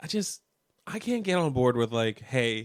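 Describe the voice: A man speaks at a medium pitch with big pitch swings and a clear, smooth tone. The recording is very clean, with a silent background.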